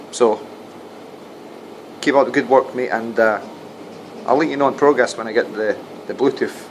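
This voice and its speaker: Over noticeable background noise, a man with a Scottish accent talks at a medium pitch. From Scotland, Dundee. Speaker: radio technician and doorman making paranormal videos. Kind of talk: casual vlog monologue. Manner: halting, with repetitions.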